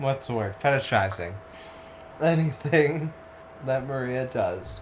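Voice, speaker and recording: Over noticeable background noise, a man with a medium-pitched voice speaks at a fairly slow pace with lively intonation. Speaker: gaming streamer. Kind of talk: casual chat during let's play stream. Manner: slurring and misspeaking; animated storytelling.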